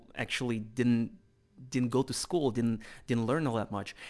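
In a very clean recording with a silent background, a man with a Russian accent speaks at a medium pitch and moderate pace, his intonation fairly even. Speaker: podcast host. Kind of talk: casual interview chat.

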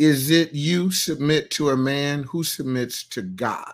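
A man's animated tone on a very clean recording with a silent background. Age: 60s. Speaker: pastor. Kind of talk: live Q and A.

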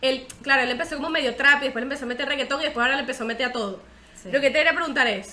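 A woman speaks very fast in a Venezuelan accent, her voice raised and projected. Her pitch is high with ordinary variation, and background noise is noticeable. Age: 20s. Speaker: podcast host. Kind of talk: casual chat.

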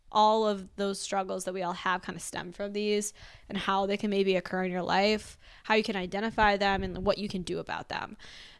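A normal speaking voice from a woman at medium pitch, with fairly even intonation, on a very clean recording with a silent background. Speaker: podcast co-host. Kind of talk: casual chat.

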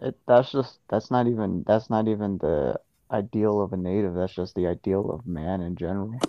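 A man speaks at a moderate pace in a fairly low voice with ordinary pitch variation. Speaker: podcast co-host. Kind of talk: casual chat.

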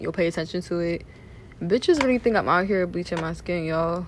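A woman at medium pitch, speaking at a very fast pace. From Philadelphia and New Jersey. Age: 20s. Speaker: solo podcaster. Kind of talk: personal monologue. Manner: casual, rambling.

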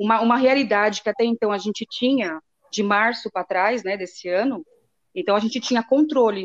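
Heard in a dry, close sound with no echo, a woman uses a normal speaking voice at a fairly high pitch with ordinary pitch variation. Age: 40s. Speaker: mother. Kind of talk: casual chat.

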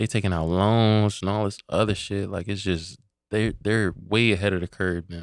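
Fairly low male pitch, fairly even intonation, and a moderate pace from a man. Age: 30s. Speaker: Navy veteran. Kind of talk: casual chat.

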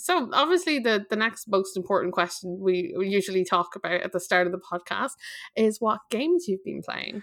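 A woman talks at a fairly quick pace with lively intonation. She has an unremarkable speaking voice at medium pitch. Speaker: podcast host. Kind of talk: casual chat.

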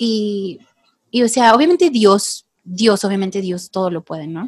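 The sound is dry and close, with no echo. Moderate in pace, the delivery has lively intonation. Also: woman. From Mexico, Tepic, Nayarit. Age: 30s. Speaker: women's group leader. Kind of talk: casual chat.

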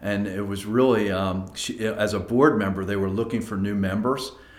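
Audible room echo surrounds a man with an American accent. He speaks at a moderate pace, fairly low in pitch, with fairly even intonation. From Philadelphia suburbs, Pennsylvania. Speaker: company team member. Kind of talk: podcast interview.

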